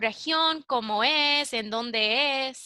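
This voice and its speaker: The voice is raised and projected, with a bright, sharp tone. The sound is dry and close, with no echo. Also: woman. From United States. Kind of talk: interviewer questions.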